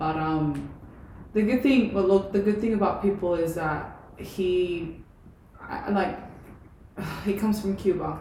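With noticeable background noise, a woman at medium pitch speaks at a fairly slow pace, leaving long, frequent pauses. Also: ordinary pitch variation. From Puerto Rico. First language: Spanish. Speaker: olympic weightlifter and personal trainer. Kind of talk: casual chat. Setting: in person.

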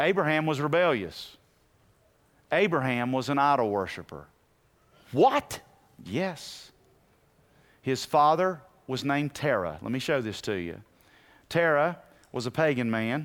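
Lively intonation marks a man's fairly high voice at a fairly slow pace. He leaves long, frequent pauses, and the recording is very clean with a silent background. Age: 50s. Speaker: pastor. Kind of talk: sermon. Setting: church.

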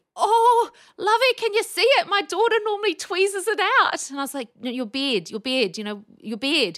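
Animated in tone, a woman with a New Zealand accent talks at a moderate pace with hardly any pauses. Her loudness swings widely. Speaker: speech pathologist. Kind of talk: casual interview. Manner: animated, laughs often.

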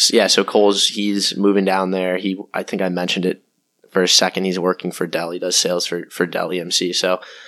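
With an American accent, a man with a very deep, low pitch talks at a fairly quick pace in a monotone, flat intonation, in a very clean recording with a silent background. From Cape Cod, Massachusetts. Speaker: dental student. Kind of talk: casual interview chat. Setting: at guest's home, recorded in person.

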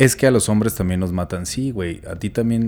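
He has an ordinary speaking voice, fairly low in pitch. The man talks at a moderate pace. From Mexico, Chihuahua. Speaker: podcast co-host. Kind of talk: casual chat.

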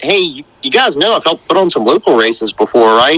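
In a slight North Carolina accent, a man with a fairly high pitch speaks at a moderate pace, in a dry, close sound with no echo. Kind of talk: casual interview.

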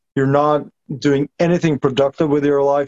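Recorded with a dry, close sound and no echo, a man with a Norwegian accent speaks in a fairly high, monotone, flat voice. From Norway. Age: 30s. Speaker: fan club founder. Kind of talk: casual chat. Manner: halting.

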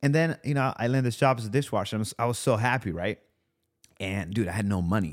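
At a very fast pace, a man with an Italian accent talks at medium pitch with ordinary pitch variation. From Italy. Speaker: content creator and male model. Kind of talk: casual interview. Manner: casual, laughs often.

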